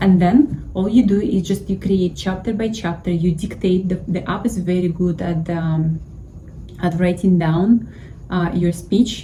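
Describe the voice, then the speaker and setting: A woman with a Russian accent speaks at medium pitch and a fairly slow pace with fairly even intonation, over noticeable background noise. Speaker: YouTuber giving money advice. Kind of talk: casual tutorial.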